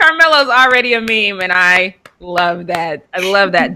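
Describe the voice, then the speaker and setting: Animated woman's voice in an American accent, bright and sharp in tone, with ordinary pitch variation. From Colorado. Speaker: sports show host. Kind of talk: casual live show chat.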